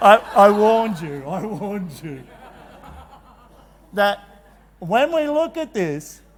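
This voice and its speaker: The speaker has an Australian accent and a very slow pace, with long, frequent pauses and very wide pitch swings. Loudness rises and falls sharply over noticeable background noise. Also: man, high pitch for a man. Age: 60s. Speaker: teacher and conference presenter. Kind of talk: motivational talk. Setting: stage with audience. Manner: animated.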